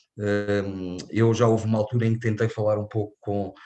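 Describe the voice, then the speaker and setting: Against a quiet background, a man with a European Portuguese accent talks at a moderate pace in a fairly low voice. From Portugal. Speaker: invited lecturer. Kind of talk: lecture. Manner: halting, many fillers.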